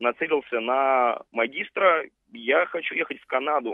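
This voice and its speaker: An unremarkable speaking voice moves with ordinary pitch variation. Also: man. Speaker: radio caller. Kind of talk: call-in comment. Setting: phone call.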